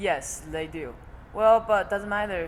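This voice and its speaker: A woman is speaking here. Her pace is moderate and her pitch varies in an ordinary way. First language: Chinese. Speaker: college volleyball player. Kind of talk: interview. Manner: halting.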